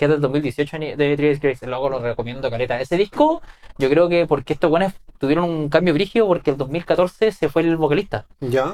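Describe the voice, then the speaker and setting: Fairly quick male speech in a Chilean accent, fairly high in pitch with ordinary variation. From Chile, Ovalle (Coquimbo region). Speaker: YouTuber and musician. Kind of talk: casual interview.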